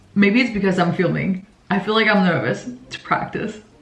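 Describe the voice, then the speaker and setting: Against noticeable background noise and audible room echo, a woman talks at a moderate pace in a medium pitch. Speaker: university student vlogger. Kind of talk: vlog. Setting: indoors at home.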